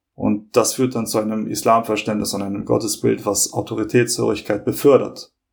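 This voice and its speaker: A man with vocal fry and a fairly low pitch talks with fairly even intonation and hardly any pauses. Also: moderate pace. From Hamburg, northern Germany (born in Kosovo). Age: 30s. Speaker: law student. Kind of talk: podcast interview.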